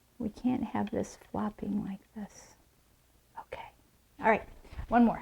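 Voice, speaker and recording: Soft-spoken, a woman talks at a fairly slow pace with long, frequent pauses. Her loudness swings widely. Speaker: floral designer. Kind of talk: casual tutorial talk to camera.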